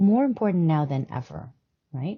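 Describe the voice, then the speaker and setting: A woman's very deep, low voice, somewhat breathy, with very wide pitch swings. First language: not English. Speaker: health and wellness podcast host. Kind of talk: casual talk-style teaching monologue. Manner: hesitant, many fillers (um, uh, right?).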